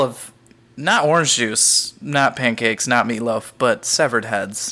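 A man with a bright, sharp tone and medium pitch speaks at a moderate pace, his pitch varying in an ordinary way. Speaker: podcast co-host. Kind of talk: casual chat, podcast banter and episode recap.

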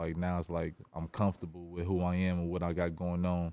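With a very deep, low pitch and a dark, mellow tone, a man talks at a fairly quick pace in a dry, close recording with no echo, very clean and with a silent background. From Indiana, East Chicago area. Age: 30s. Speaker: rapper. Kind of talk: casual chat.

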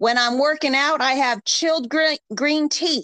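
With a bright, sharp tone, a woman speaks at a fairly slow pace in a dry, close sound with no echo. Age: 40s. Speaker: podcast host. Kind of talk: casual chat.

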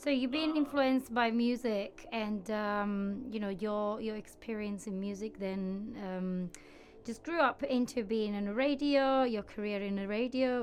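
A woman with a fairly high pitch speaks in an Italian accent. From Italy. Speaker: graphic designer and co-host. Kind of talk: casual interview. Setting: studio.

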